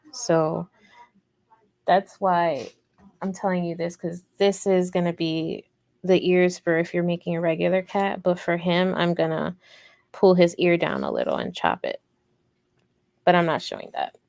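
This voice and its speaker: A woman speaks with an American accent at a moderate pace. Long, frequent pauses fill a very clean recording with a silent background. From Chicago, US Midwest. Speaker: crochet youtuber. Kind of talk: live crochet tutorial stream. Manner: monotone.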